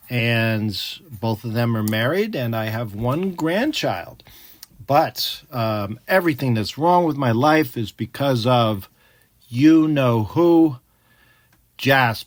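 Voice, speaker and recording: Lively intonation marks a man talking at a very slow pace. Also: medium pitch for a man. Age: 60s. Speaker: teacher reading a children's book podcast. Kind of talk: read-along book discussion for children. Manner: casual, conversational with hesitations.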